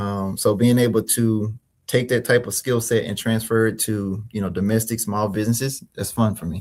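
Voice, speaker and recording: With an American accent, a man speaks at medium pitch and a moderate pace in a monotone, flat intonation. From Mississippi, US South. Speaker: small business consultant and finance expert. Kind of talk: interview. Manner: many fillers and repetitions.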